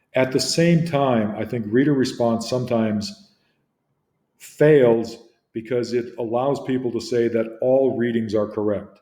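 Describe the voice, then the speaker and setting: A man speaks at a fairly slow pace with a medium pitch and fairly even intonation. His tone is dark and mellow, with audible room echo. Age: 60s. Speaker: literature teacher. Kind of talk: lecture. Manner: hesitant, with frequent fillers.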